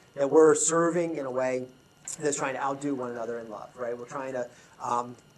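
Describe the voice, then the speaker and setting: A man at a fairly quick pace with fairly even intonation and big swings in loudness, over noticeable background noise and audible room echo. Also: medium pitch for a man. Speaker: leadership consultant. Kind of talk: conference talk. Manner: fast.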